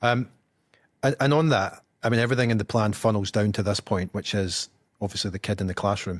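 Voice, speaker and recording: A man with a Scottish accent talks at a very fast pace with fairly even intonation. The recording is very clean with a silent background, and the sound is dry and close with no echo. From Scotland. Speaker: podcast host. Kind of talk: interview. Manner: halting, many repetitions.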